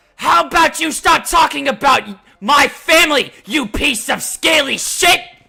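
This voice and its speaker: Shouting in a put-on character voice, a man speaks at a moderate pace with extremely high pitch. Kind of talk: loud, insulting retort. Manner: shouting angrily.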